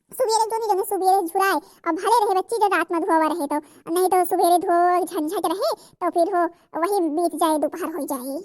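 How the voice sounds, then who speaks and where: A squeaky, cartoonish character voice from a woman, extremely high in pitch, at a fairly quick pace. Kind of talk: cartoon comedy. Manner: folksy, homely.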